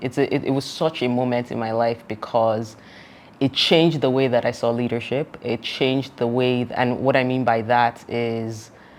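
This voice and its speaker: A woman talks at a moderate pace in a very deep, low pitch. Her intonation stays fairly even. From Nigeria. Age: 30s. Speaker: entrepreneur. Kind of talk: interview.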